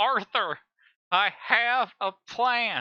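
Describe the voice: A female-sounding, put-on character voice pitched fairly high for a woman is heard over a quiet background.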